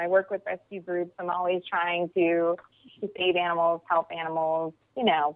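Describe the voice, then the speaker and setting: With an American accent, a woman speaks at a moderate pace in a fairly low pitch. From Pennsylvania. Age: 30s. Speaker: TV host, interior designer. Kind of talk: interview.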